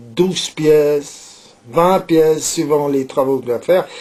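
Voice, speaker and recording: Noticeable background noise behind a fairly high-pitched male voice. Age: 70s. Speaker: saddler, leather craftsman. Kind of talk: interview. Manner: hesitant, many filler words and repetitions.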